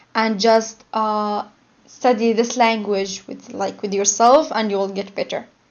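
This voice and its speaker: Someone with a non-native accent talks at a very slow pace, keeping the intonation fairly even. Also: woman. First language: not English. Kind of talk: interview answer.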